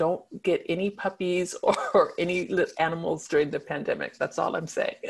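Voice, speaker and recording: A woman's fairly low voice with a Californian accent. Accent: General American (Californian). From US West Coast, San Diego. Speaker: law professor and online safety consultant. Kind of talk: webinar presentation. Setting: online webinar, screen sharing.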